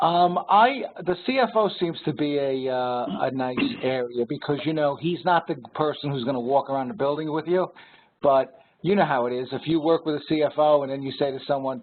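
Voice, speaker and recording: At a fairly quick pace, a man with a New York accent talks at a fairly high pitch with ordinary pitch variation. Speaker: regional sales director. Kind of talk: webinar Q&A. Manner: hesitant, many fillers.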